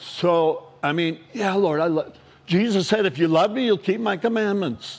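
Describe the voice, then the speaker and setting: A man with an American accent speaks fairly slowly in a high-pitched voice. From Southern California. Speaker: retired probation officer and teacher. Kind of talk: testimony. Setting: stage with audience. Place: cafe. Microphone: lapel.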